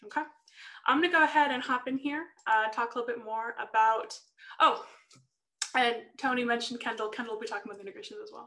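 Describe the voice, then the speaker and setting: Over a quiet background, a woman talks very fast in a high, bright, sharp voice with ordinary pitch variation, big swings in loudness, and long, frequent pauses. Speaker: software sales manager presenting; presenter. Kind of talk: webinar presentation. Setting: video call webinar. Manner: hesitant, many fillers. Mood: friendly, upbeat. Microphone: video call.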